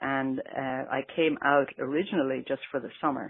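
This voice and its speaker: This woman has a very deep, low pitch and speaks with an American accent. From Ireland, County Westmeath. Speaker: Irish immigrant interviewee. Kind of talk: interview.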